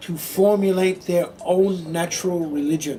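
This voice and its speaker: A man with a high pitch talks at a fairly slow pace while noticeable background noise carries on. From Australia. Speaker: Buddhist monk. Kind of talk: public talk.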